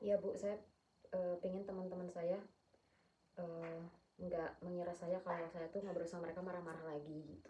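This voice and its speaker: A somewhat breathy, fairly low woman's voice, dark and mellow, monotone and flat at a moderate pace with long, frequent pauses. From Sumatra, Batak. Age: 20s. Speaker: counseling client. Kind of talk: role-play counseling session. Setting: at home. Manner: firm tone.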